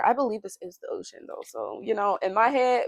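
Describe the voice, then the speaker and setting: Dry and close with no echo, a woman talks at a fairly quick pace. Her fairly high pitch moves in very wide swings. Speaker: booktuber. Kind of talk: casual vlog chat. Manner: fast.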